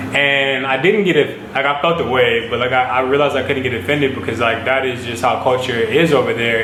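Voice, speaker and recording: Over noticeable background noise and audible room echo, a man talks fairly quickly at a medium pitch. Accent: American. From United States. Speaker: model and vlogger. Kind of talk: casual vlog talk. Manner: casual, filler-heavy.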